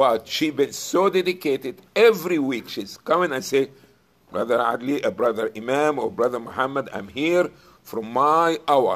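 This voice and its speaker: A man's fairly high-pitched voice proceeds at a moderate pace. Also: lively intonation. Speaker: imam. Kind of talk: religious class. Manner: halting, self-correcting.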